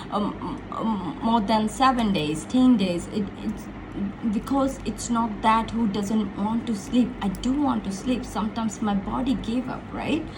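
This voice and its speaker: Over noticeable background noise and audible room echo, a woman with a fairly high pitch talks at a fairly slow pace. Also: ordinary pitch variation. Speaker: motivational speaker. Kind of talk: casual motivational talk. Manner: animated.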